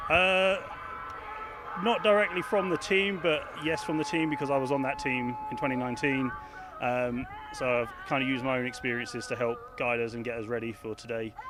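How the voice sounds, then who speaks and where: Noticeable background noise and audible room echo surround a man speaking at a fairly high pitch. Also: lively intonation, fairly quick pace. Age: 30s. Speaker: football head coach. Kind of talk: pre-game interview.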